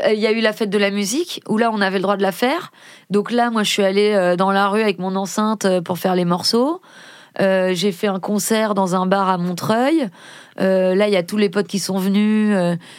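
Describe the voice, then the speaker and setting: Medium in pitch, a woman talks with a plain, everyday voice at a moderate pace. Her intonation is fairly even, her loudness very even, and the recording very clean with a silent background. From Paris region, France. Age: 30s. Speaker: rapper and actress. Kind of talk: casual interview. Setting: studio.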